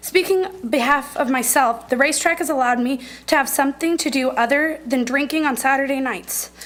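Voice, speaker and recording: Amid audible room echo, a woman with an American accent speaks at a fairly quick pace in a high pitch with ordinary pitch variation. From Norfolk, Nebraska. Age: 20s. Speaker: local resident speaking at public comment. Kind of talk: public comment at council meeting. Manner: fast.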